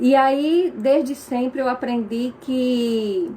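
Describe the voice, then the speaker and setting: With a Pernambuco accent, a woman talks at a high pitch with ordinary pitch variation. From Brazil, Pernambuco. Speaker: aromatherapist. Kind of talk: casual talk to viewers, live stream. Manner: conversational, with fillers.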